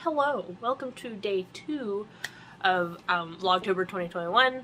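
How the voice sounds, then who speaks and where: Noticeable background noise sits behind a woman talking at a fairly slow pace. Her pitch is medium and her intonation lively. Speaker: vlogger. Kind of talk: casual vlog. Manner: halting, many ums.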